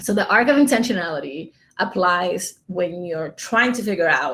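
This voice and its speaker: In an American accent, the speaker has an animated tone, ordinary pitch variation, and a moderate pace on a very clean recording with a silent background. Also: woman. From New York City, the Bronx, Dominican roots. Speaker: podcast producer and conference speaker. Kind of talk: conference talk.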